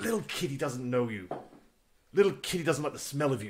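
A man's put-on character voice, hissing, at a medium pitch and a fairly quick pace. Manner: menacing, hissing between words.

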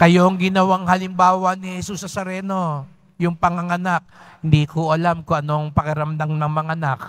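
In a quiet background, a man with a high pitch talks at a moderate pace, his loudness swinging widely. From Philippines. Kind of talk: preacher homily. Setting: church. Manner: animated, repetitive, emphatic; conversational, directly addresses congregation. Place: church. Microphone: podium.

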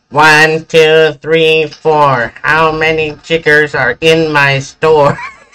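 A put-on character voice, nasal and monotone with flat intonation, very slow in pace with hardly any pauses. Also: man, fairly high pitch for a man.

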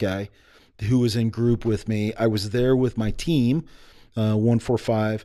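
At a fairly slow pace, a man with an American accent speaks at medium pitch with a dark, mellow tone and fairly even intonation over a quiet background. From United States. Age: 40s. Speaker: army special forces veteran and entrepreneur. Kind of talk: casual interview. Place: studio. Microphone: studio mic.

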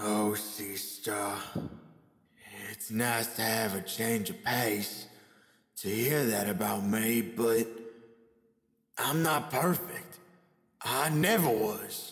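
A man uses a raspy put-on character voice at a medium pitch, with audible echo. He goes at a very slow pace with long, frequent pauses. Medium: dub.

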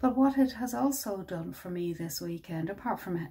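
This woman's voice has a dark, mellow tone. It sounds somewhat breathy. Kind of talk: reflective dharma talk. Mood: warm, gentle, happy. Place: home room.

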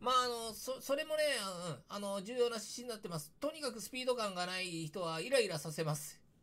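Bright and sharp in tone, a man speaks at a fairly quick pace in a high pitch with very wide pitch swings. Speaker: YouTuber discussing news. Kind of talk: casual commentary. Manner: halting, many fillers.

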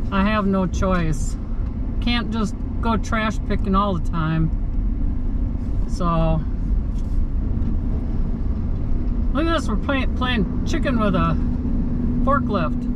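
Loud background noise sits under a woman talking at a very slow pace with long, frequent pauses. The sound is dry, with no echo. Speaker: vlogger driving to scrapyard. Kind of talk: casual vlog chat. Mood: relaxed, chatty. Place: car. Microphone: phone near.

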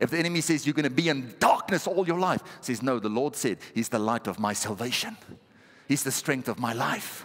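This man's voice sits at a medium pitch. His tone is animated and his pace fairly quick. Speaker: pastor. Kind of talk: sermon. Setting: church. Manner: animated, exhortative, call-and-response with the congregation. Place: church. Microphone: headset.

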